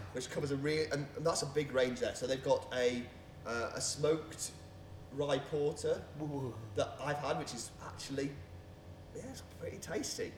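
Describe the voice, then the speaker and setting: A man talks at a moderate pace with a fairly high pitch and ordinary pitch variation. The room echo is audible. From Staffordshire, England (Leek). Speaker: beer podcast co-host. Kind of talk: casual chat.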